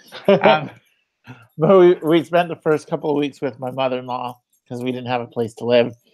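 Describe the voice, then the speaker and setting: Someone with an American accent speaks at a fairly quick pace with ordinary pitch variation. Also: man, medium pitch for a man. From Utah. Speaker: vlogger. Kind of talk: live stream chat. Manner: loud.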